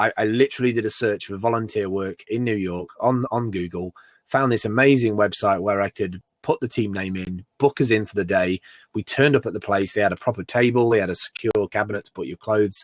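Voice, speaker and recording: A man with a British accent, fairly low in pitch, at a fairly quick pace, with ordinary pitch variation and big swings in loudness, in a dry, close sound with no echo on a very clean recording with a silent background. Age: 40s. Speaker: entrepreneur and maker. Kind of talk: podcast interview. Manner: animated, with many restarts and fillers.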